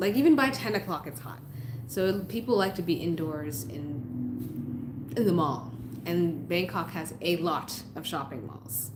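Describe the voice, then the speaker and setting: A woman talks at a fairly slow pace, her pitch very deep and low, with lively intonation. Room echo is audible. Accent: American. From US Northeast, Massachusetts. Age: 30s. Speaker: YouTuber, expat vlogger. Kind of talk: live stream chat. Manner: casual, conversational.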